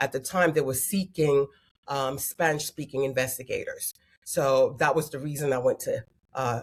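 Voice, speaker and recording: With a very deep, low pitch, a woman speaks at a moderate pace in a somewhat breathy voice and fairly even intonation. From Queens, New York. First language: French and Haitian Creole. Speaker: family mediator. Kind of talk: interview.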